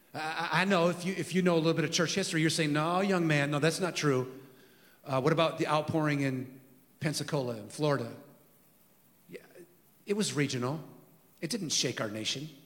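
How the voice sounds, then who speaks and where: A man speaks with an American accent at a fairly high pitch and a fairly quick pace, with ordinary pitch variation. Long pauses come often, and room echo is audible. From California. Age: 50s. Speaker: pastor. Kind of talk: sermon.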